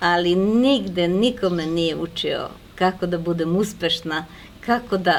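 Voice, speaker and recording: A woman talks at a fairly slow pace in a fairly low pitch with ordinary pitch variation. It is an ordinary speaking voice. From Serbia. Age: 60s. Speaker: network marketing manager. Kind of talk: interview.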